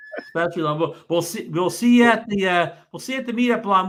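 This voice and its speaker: A man's high-pitched, raised and projected voice, very fast, with lively intonation. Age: 60s. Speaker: drone show host. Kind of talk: casual chat. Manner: halting.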